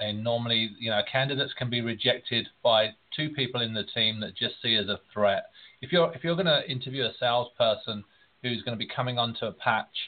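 This man, in an English accent, talks fairly quickly. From England. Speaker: recruiter. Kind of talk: panel discussion.

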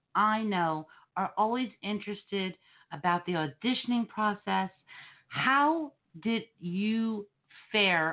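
A woman with a strong New Jersey accent speaks with lively intonation. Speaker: podcast host. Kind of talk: casual banter.

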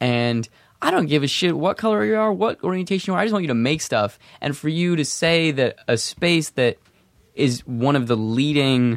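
Recorded very clean with a silent background and a dry, close sound with no echo, a man speaks at a moderate pace with a fairly high pitch and very wide pitch swings. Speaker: podcast host. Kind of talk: casual chat. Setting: studio. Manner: animated.

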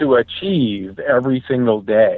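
A man with an ordinary speaking voice talks at medium pitch with lively intonation. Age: 50s. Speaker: ultramarathon runner. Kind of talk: casual chat.

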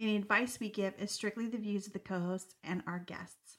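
A woman with a normal speaking voice and fairly even intonation. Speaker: podcast co-host. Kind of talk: scripted show intro and outro.

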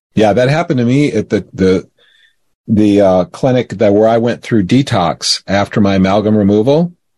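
In a plain, everyday voice with an American accent, a man speaks at a moderate pace and a fairly low pitch, with ordinary pitch variation, very even loudness, and a dry, close sound with no echo. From Florida, US. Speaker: guest, former radio co-host. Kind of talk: casual interview chat. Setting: video call.

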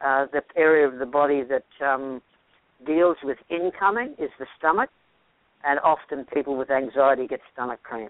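A man with an Australian accent, fairly high in pitch, at a moderate pace with ordinary pitch variation. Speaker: health practitioner. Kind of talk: interview. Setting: radio or podcast interview.

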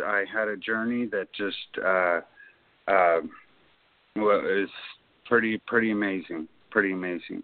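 A man at a medium pitch with fairly even intonation. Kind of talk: interview.

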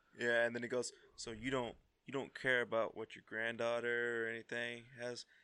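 Speaking at a moderate pace with an American accent, this man has a medium pitch, a bright, sharp tone and monotone, flat intonation. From US South. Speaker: podcast co-host. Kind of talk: casual chat.

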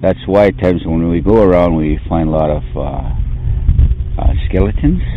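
Fairly slow speech with lively intonation and noticeable background noise. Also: man, very deep, low pitch for a man. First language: Blackfoot. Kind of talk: storytelling. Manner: halting.

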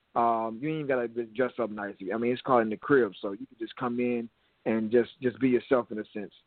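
With an American accent and a normal speaking voice, a man talks at a fairly quick pace at medium pitch, his intonation fairly even but his loudness swinging widely. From Minneapolis, Minnesota, US. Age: 30s. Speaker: youth platform founder. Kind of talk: interview. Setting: phone call.

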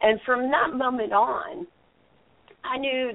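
A woman speaks with a Texan accent. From Texas. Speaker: Bigfoot researcher and radio host. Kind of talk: interview. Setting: phone call. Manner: halting.

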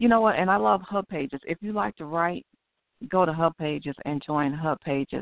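A woman has an unremarkable speaking voice, fairly low in pitch. Her intonation is lively and her pace moderate. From Chicago, West Side. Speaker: author and aneurysm survivor. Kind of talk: radio interview.

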